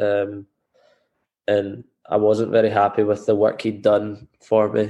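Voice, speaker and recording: A man's voice sits at a medium pitch and moves at a moderate speed. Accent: west of Scotland. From Scotland, Greenock (west of Scotland). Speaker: professional footballer. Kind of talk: interview.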